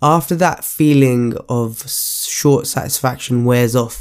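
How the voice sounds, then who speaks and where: The recording is very clean and the background silent. The man's pitch is medium. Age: 20s. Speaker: fitness coach and podcast host. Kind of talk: solo monologue podcast. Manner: halting.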